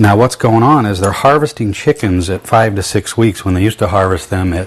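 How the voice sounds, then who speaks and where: A fairly low-pitched man's voice amid noticeable background noise. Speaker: cooking show host and barbecue restaurant owner. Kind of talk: cooking demonstration.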